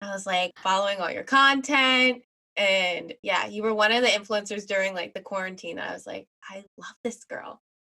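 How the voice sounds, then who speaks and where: A woman speaks at a moderate pace with a medium pitch and ordinary pitch variation. Her tone is bright and sharp. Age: 20s. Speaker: podcast co-host and producer. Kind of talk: casual chat.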